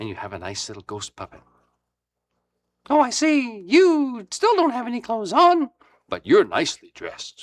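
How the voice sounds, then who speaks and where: Talking at a moderate pace, a man leaves long, frequent pauses, and his loudness swings widely. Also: dry, close sound with no echo. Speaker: puppeteer. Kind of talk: instructional presentation for children.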